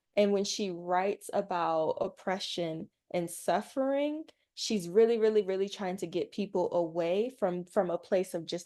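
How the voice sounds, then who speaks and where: A woman's plain, everyday voice at a medium pitch, moderate pace and ordinary pitch variation, against a quiet background. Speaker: teach-in speaker. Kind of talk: lecture.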